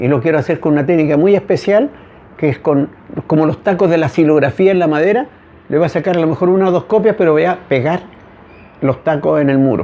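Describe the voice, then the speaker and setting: A man's fairly high voice at a very fast pace, with ordinary pitch variation, very even loudness and long, frequent pauses. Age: 70s. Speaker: visual artist, muralist. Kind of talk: casual chat.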